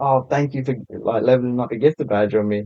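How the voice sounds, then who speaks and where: A man with a British accent at a very fast pace, with fairly even intonation. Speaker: TikTok content creator. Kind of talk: casual chat. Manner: laid back.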